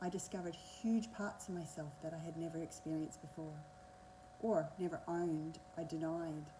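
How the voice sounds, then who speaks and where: In an Australian accent, a woman speaks at a fairly low pitch with ordinary pitch variation. Audible room echo surrounds her voice. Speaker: energy healer and coach. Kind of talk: masterclass talk. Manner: fast.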